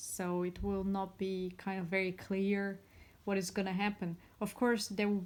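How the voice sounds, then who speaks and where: This woman speaks at a moderate pace with very even loudness. Her intonation is monotone and flat. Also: medium pitch for a woman. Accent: non-native. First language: not English. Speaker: tarot reader. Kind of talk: tarot reading monologue. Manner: halting.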